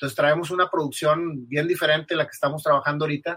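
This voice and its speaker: A man's voice has a fairly high pitch and a bright, sharp tone. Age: 40s. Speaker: businessman and musician. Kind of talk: interview. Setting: live podcast recording.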